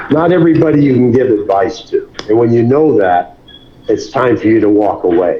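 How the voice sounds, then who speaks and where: With lively intonation and very even loudness, a man speaks at a fairly quick pace and a medium pitch over noticeable background noise. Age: 80s+. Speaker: boxing trainer. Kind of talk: interview. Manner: halting.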